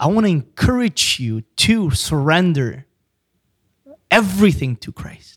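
A man speaks at a high pitch with very wide swings, slowly and with long, frequent pauses. The sound is dry and close, with no echo. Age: 20s. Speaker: preacher and business owner. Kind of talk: casual chat. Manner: halting.

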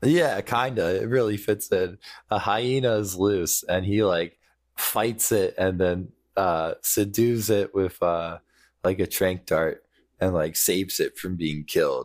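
An ordinary speaking voice from a man with a fairly low pitch, at a fairly slow pace with ordinary pitch variation, in a very clean recording with a silent background. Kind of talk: casual chat. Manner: joking.

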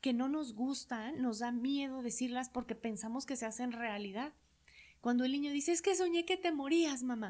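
At a moderate pace, a woman speaks at a high pitch with lively intonation. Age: 40s. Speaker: psychologist and hypnotherapist. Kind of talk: interview conversation.

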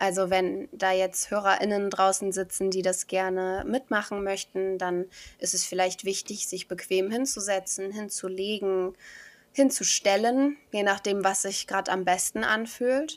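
A woman in a plain, everyday voice speaks at a fairly slow pace, her pitch medium and her intonation fairly even. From Germany, village. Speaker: beauty queen and podcaster. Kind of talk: guided meditation; interview.

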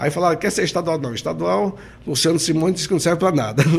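A man talks at a very fast pace in a fairly high pitch. His pitch varies in an ordinary way. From Sergipe, Brazil (countryside). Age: 60s. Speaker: mayor and businessman. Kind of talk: interview.

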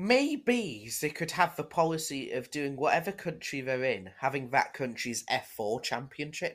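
A man with a northern English accent and a fairly high pitch, lively intonation, hardly any pauses, on a very clean recording with a silent background. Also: moderate pace. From northern England. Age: young. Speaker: motorsport podcast co-host. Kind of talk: casual chat. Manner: animated.

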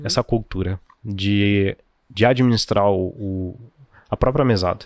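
The sound is dry and close with no echo as a man speaks at a fairly slow pace with ordinary pitch variation. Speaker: financial educator. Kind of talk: casual chat. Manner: well-spoken.

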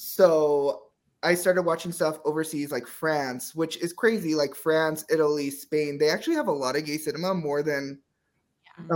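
A man with an unremarkable speaking voice, fairly high pitch and moderate pace, in a very clean recording with a silent background. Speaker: BL content creator. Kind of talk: casual chat.

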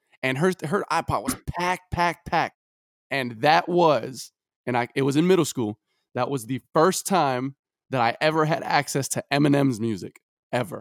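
A man with an American accent and a plain, everyday voice talks at a moderate pace in a fairly high pitch, with ordinary pitch variation and a dry, close sound with no echo. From Brooklyn, New York. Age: 20s. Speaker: podcast co-host. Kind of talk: casual chat.

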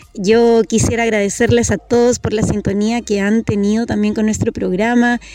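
A woman's fairly high, monotone voice with flat intonation and hardly any pauses, set against noticeable background noise. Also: moderate pace, very even loudness. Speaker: radio host. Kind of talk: radio interview. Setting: outdoors. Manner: gentle.

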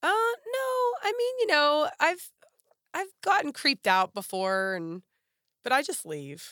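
A speaker with an American accent talks in a raised, projected voice with a bright, sharp tone and very wide pitch swings. The pace is fairly slow, with long, frequent pauses, and the sound is dry and close with no echo. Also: woman, high pitch for a woman. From western Pennsylvania, near Pittsburgh. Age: 40s. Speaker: model and former teacher. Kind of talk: casual interview.

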